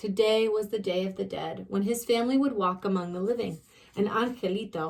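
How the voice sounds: The pitch moves in an ordinary way. It comes from a natural reading voice.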